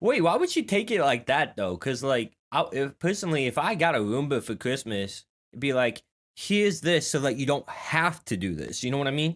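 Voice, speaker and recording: An animated man with vocal fry and a fairly high pitch makes very wide pitch swings, heard in a very clean recording with a silent background. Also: moderate pace. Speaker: streamer reacting to videos. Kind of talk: casual reaction commentary.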